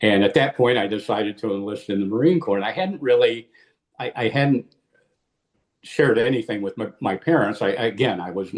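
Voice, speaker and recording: This man has a Midwestern American accent and a medium pitch. He talks at a fairly quick pace. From US Midwest, Illinois. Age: 70s. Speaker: war veteran. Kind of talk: interview. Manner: halting, many repeated words.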